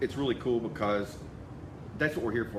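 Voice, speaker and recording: A man talks at a very fast pace with medium pitch and fairly even intonation. Audible room echo and noticeable background noise fill the recording. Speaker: insurance sales team leader. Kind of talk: live video address to sales group.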